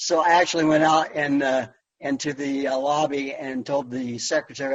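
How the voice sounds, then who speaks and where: A man speaks at a moderate pace in a fairly high pitch, keeping his intonation fairly even. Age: 60s. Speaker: kidney patient speaker, former radio DJ. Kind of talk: personal testimony presentation. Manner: halting, many fillers.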